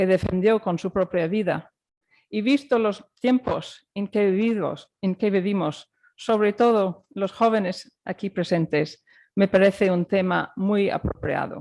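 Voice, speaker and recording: Dark and mellow in tone, the voice moves at a fairly slow pace with ordinary pitch variation, sounding dry and close with no echo against a quiet background. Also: woman, medium pitch for a woman. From Ireland. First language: English or Irish, not Spanish (speaking Spanish). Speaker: judge. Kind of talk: formal lecture. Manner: formal.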